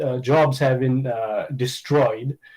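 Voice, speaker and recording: A man speaks in a medium pitch that is somewhat breathy. His tone is dark and mellow. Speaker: conference speaker on economics. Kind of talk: conference presentation. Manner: hesitant, many fillers.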